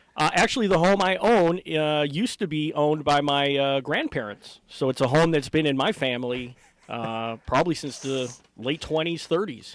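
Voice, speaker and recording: An ordinary speaking voice with an American accent, moderate pace and ordinary pitch variation. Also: man, fairly high pitch for a man. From Hammond, Indiana. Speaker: boxing and MMA ring announcer. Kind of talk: interview answer.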